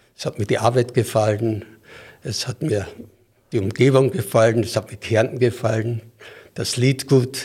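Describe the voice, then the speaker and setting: A man's somewhat breathy voice, medium pitched, with fairly even intonation and a fairly slow pace. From Styria, Austria. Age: 70s. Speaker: football referee. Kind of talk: interview.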